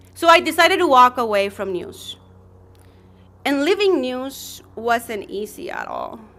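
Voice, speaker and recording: A woman with a non-native accent and a high, bright, sharp voice talks at a fairly slow pace with long, frequent pauses, very wide pitch swings and big swings in loudness. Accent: noticeable non-native accent in English. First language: Spanish. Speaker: journalist. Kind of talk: personal testimony speech.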